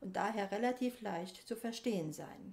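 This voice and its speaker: A woman talks at a moderate pace with ordinary pitch variation over noticeable background noise. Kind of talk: formal presentation in standard German.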